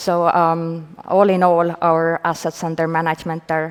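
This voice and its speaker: A woman with an Estonian accent and monotone, flat intonation. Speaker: venture fund manager. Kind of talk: panel discussion. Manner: hesitant, many fillers.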